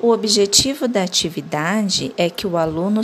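A woman of medium pitch talks at a very slow pace with ordinary pitch variation. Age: 30s. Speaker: arts teacher. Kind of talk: tutorial. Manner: clear, instructional.

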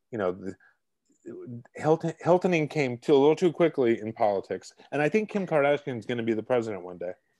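Fairly quick speech in a Brooklyn accent swings very widely in pitch, with a dark, mellow tone. The background is quiet. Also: man, dry, close sound with no echo. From Brooklyn, New York. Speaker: columnist and cookbook author. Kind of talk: casual interview. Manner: halting, many repetitions and fillers.

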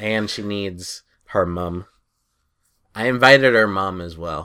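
In a very clean recording with a silent background, a man with an American accent speaks at a very slow pace with long, frequent pauses, a very deep, low pitch, ordinary pitch variation, big swings in loudness and a bright, sharp tone. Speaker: podcast co-host. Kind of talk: casual banter.

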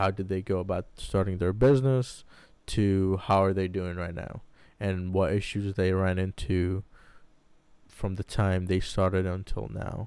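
In a very clean recording with a silent background, a man with a very deep, low pitch speaks at a fairly slow pace and with fairly even intonation. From Baghdad, Iraq. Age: 20s. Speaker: podcast co-host, pharmacy technician. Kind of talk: casual chat. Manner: halting.

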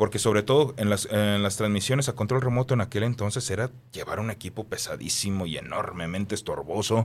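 Using a plain, everyday voice, a man speaks at a fairly quick pace in a fairly low pitch with ordinary pitch variation. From Mexico, Guadalajara. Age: 30s. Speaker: radio announcer and voice-over artist. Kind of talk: interview.

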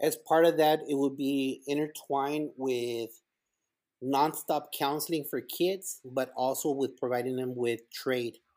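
A man with a Spanish accent speaks at a fairly slow pace in a fairly high pitch. The recording is very clean, with a silent background. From El Paso, Texas / Ciudad Juarez, Mexico. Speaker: school principal. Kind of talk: casual interview chat. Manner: animated, inspirational.

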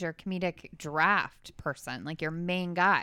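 This is an ordinary speaking voice from a woman with fairly low pitch and fairly even intonation. She keeps a moderate pace, and the sound is dry and close with no echo. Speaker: podcast co-host. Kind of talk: casual chat.

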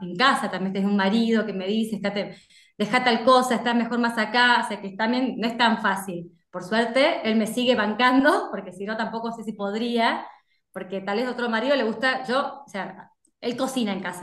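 This woman speaks in an Argentine accent at a fairly high pitch with ordinary pitch variation, and audible room echo surrounds her. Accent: Rioplatense Argentine Spanish. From Buenos Aires, Argentina. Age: 40s. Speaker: food inspector and nutritionist. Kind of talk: casual chat.

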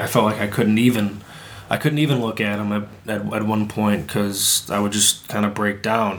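Noticeable background noise sits behind a man with a fairly low pitch. He keeps a moderate pace and fairly even intonation. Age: 20s. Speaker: podcast co-host. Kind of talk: casual chat.

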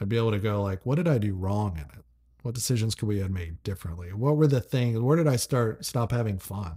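A man's very fast, somewhat breathy voice in an American accent, fairly low in pitch with a dark, mellow tone and lively intonation, on a very clean recording with a silent background. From US South, Franklin, Tennessee. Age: 30s. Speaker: entrepreneur, company founder. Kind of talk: casual interview chat. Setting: host's living room.

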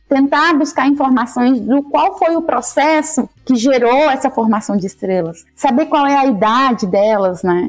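The pace is fairly slow, with hardly any pauses and very even loudness. Intonation is lively throughout. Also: woman, high pitch for a woman. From Bahia, Vitória da Conquista. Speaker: astrophysicist and university lecturer. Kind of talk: interview.

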